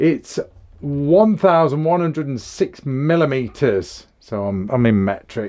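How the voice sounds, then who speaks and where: A man with an English accent at a fairly slow pace, his pitch swinging very widely. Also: fairly high pitch for a man. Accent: English, mistaken for Australian by viewers. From England. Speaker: firearms reviewer. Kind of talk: product review. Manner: casual, conversational.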